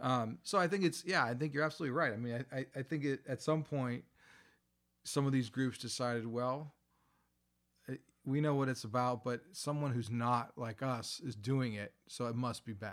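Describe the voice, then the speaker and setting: A man with an ordinary speaking voice, medium pitch, ordinary pitch variation and a moderate pace, on a very clean recording with a silent background. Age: 50s. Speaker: college lecturer and podcast co-host. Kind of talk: casual chat. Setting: in a basement room.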